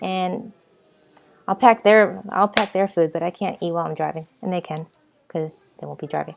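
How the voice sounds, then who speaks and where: A woman with a Boston accent talks at a fairly quick pace in a medium pitch. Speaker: vlogger. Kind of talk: casual vlog talk. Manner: rambling, hesitant with repeats; animated.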